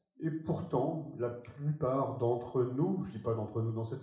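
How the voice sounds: Strong room echo surrounds a man's dark, mellow voice. He talks at a moderate pace with ordinary pitch variation.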